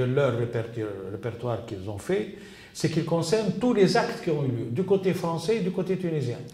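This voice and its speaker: Over noticeable background noise and audible room echo, a man speaks at a fairly high pitch with very wide pitch swings. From Tunisia. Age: 70s. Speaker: archive researcher and witness. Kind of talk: interview testimony. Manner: halting, many hesitations and repetitions.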